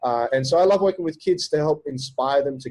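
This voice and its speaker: Music plays in the background as a man with an Australian accent talks at a very fast pace. The sound is dry and close, with no echo. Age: 30s. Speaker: entrepreneur and business coach. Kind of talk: podcast interview. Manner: animated.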